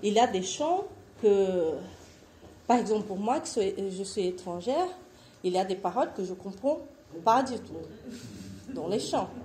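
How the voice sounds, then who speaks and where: With audible room echo, a woman speaks at a very slow pace with long, frequent pauses, lively intonation and big swings in loudness. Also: medium pitch for a woman. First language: Portuguese (speaking French). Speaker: missionary. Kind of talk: conference presentation.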